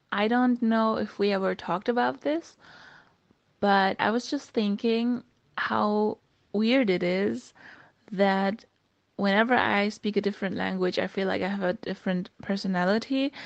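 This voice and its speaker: A woman with a German accent, medium in pitch with ordinary variation, at a moderate pace. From Germany. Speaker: podcast host. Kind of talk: voice message chat. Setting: voice message.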